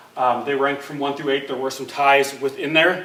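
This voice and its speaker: A man speaks against noticeable background noise with audible room echo. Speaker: school curriculum administrator. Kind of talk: presentation to school board. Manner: fast; hesitant fillers.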